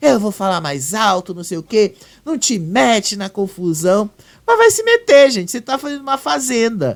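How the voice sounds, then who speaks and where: The recording is very clean with a silent background. A man speaks with a high pitch. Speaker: celebrity gossip youtuber. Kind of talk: casual commentary.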